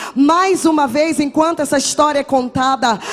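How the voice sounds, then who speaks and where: A woman talks at a fairly slow pace with ordinary pitch variation, and noticeable background noise can be heard. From Brazil, Salvador, Bahia. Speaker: guest preacher. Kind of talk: sermon with personal testimony. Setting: church with congregation.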